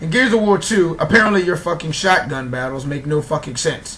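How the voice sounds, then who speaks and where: With music playing in the background and audible room echo, a man with an American accent talks at a fairly quick pace with ordinary pitch variation. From New York City. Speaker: gaming vlogger. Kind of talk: casual rant. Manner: fast.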